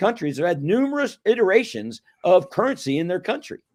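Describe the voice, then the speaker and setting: With an American accent, a man talks at a fairly quick pace in an animated tone, his pitch swinging very widely over a silent background on a very clean recording. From United States. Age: 60s. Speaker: retired financial planner. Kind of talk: interview.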